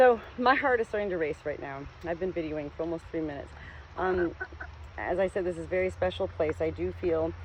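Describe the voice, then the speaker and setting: Noticeable background noise is audible. Through it, a woman talks at a fairly quick pace. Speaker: spiritual vlogger. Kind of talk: casual vlog monologue. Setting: outdoors on a farm. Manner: rambling, jumps between topics.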